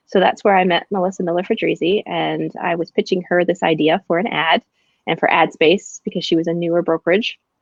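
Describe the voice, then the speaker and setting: A woman with an American accent, fairly low in pitch, at a fairly quick pace. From Pennsylvania. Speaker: real estate broker. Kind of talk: interview. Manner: animated.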